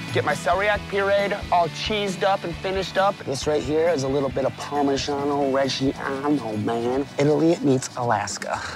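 Hardly any pauses at a moderate pace, with a dry, echo-free sound and clear music behind. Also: man. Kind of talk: cooking commentary. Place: forest.

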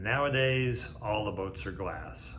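A man with an American accent talks at a moderate pace. Noticeable background noise runs underneath. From California, Santa Barbara; California. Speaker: boat broker and sailor. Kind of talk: narrated video talk. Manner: hesitant, frequent uh fillers. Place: office.

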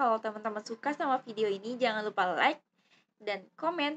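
A woman's shrill voice with ordinary pitch variation. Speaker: YouTuber. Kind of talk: product review vlog. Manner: casual, hesitant with fillers.

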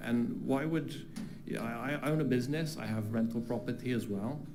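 A man talks with a British accent at a medium pitch and a moderate pace, with ordinary pitch variation. There is audible room echo. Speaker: public commenter, flight school owner. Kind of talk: public comment at council meeting. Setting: council chamber with audience. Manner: halting, many fillers and repetitions.

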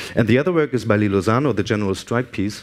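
A man speaks in a fairly low voice. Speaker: guest lecturer. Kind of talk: lecture. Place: hall.

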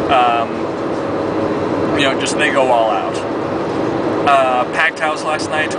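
Loud background noise surrounds a man whose voice is recorded dry with no echo. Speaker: sports fan vlogger. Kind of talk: casual talk to camera, sports commentary vlog. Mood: upbeat, reflective. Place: car. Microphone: phone near.

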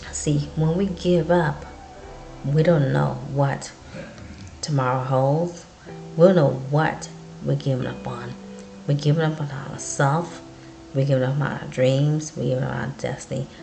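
A woman speaks at a fairly slow pace with long, frequent pauses while clear music plays in the background. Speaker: vlogger. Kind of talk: encouraging casual vlog talk. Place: home room. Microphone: webcam.

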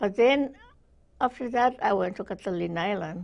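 A woman at medium pitch and moderate pace, slightly mellow in tone, with vocal fry and ordinary pitch variation

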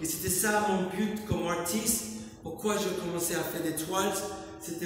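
Strong room echo and light background noise surround a man with an American accent. His pitch is high, his intonation fairly even. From United States (New York). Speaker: painter, street artist. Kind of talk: interview about his art. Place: hall. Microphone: camera far.

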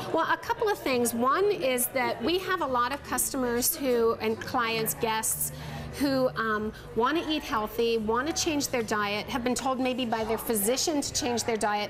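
Over clear music in the background, a woman with a high pitch talks at a fairly slow pace. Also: ordinary pitch variation, very even loudness. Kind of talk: interview answer. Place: cafe. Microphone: lapel.

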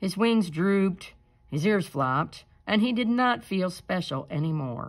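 Lively intonation marks the delivery of a natural reading voice.

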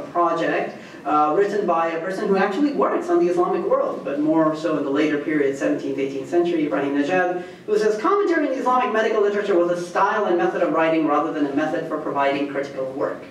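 A man's very fast speech with hardly any pauses, high in pitch, with ordinary pitch variation, audible room echo and light background noise. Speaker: guest lecturer, history professor. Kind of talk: lecture. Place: hall.

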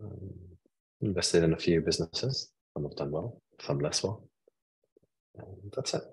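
A man speaks softly with a very deep, low pitch and a somewhat breathy sound. The background is quiet. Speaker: marketing consultant. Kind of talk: interview answer. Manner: soft-spoken, mild-mannered. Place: home room. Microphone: video call.

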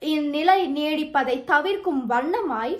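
Against a quiet background, a woman talks in a high voice with lively intonation. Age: 20s. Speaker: student contestant; news reading contestant. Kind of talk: news reading. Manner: formal. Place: home room. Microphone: phone near.

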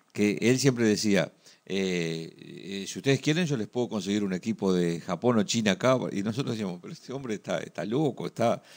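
With a Uruguayan accent, a man speaks at a fairly low pitch with ordinary pitch variation over a quiet background. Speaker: sports TV co-host. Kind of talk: TV sports talk show. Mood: amused, reminiscing. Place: studio. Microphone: studio mic.

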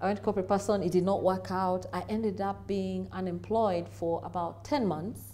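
Speaking at a fairly quick pace, a woman talks with a Kenyan accent. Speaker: business executive; interview guest. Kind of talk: interview. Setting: studio. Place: studio. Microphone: lapel.

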